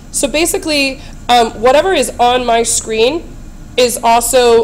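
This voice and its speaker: Clear background noise behind a woman's speech of ordinary pitch variation. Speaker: teacher making tutorials. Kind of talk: tutorial. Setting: screencast recording. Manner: friendly, explanatory.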